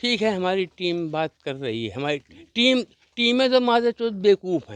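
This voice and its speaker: Big swings in loudness and very wide pitch swings in dry, close sound with no echo. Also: man, high pitch for a man. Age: 70s. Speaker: retired soldier, village head's son. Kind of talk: street interview. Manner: animated.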